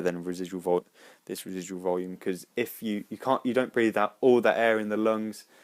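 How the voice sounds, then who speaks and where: At a moderate pace, a man with a fairly low pitch and fairly even intonation speaks in a plain, everyday voice. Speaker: biology tutorial maker. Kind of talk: tutorial.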